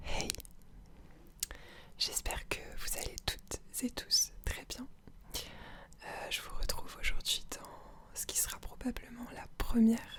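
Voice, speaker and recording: A whispering woman at a very slow pace, with long, frequent pauses, big swings in loudness and noticeable background noise. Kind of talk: ASMR video, casual talk to camera. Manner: whispered; hesitant, many filler sounds.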